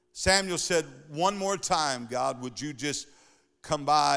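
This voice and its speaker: On a very clean recording with a silent background, a man speaks at a fairly slow pace with ordinary pitch variation. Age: 60s. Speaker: pastor. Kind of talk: sermon. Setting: church. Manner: animated.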